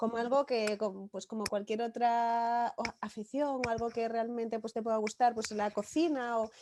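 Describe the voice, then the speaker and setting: With a slight Galician accent and hardly any pauses, a woman talks in a fairly high voice with a dark, mellow tone. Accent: slight Galician lilt. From Galicia, Spain (village near Santiago). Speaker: novelist. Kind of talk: interview.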